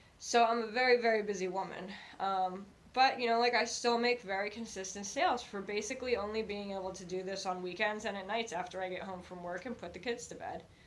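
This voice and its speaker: The woman talks at a very fast pace with fairly even intonation. Room echo is audible. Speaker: thrift reseller vlogger. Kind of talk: casual haul vlog talk to camera. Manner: hesitant, many fillers.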